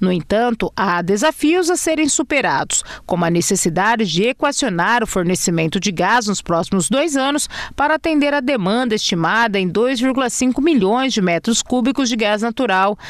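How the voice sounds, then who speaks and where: Someone with a Brazilian accent talks at a moderate pace with hardly any pauses. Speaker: TV news presenter. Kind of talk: news reading.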